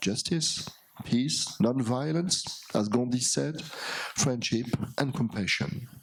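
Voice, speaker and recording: With a French accent, a man speaks at a very slow pace and medium pitch with ordinary pitch variation, amid noticeable background noise and audible room echo. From France. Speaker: philosopher. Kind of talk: lecture. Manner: halting, with hesitations.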